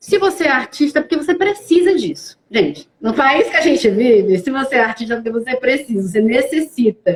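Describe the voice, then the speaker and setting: Her high-pitched voice swings very widely as this woman talks at a fairly quick pace with hardly any pauses. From Brazil, Fortaleza, Ceará (Northeast). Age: 30s. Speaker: actress. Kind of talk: live-stream interview. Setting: online live stream.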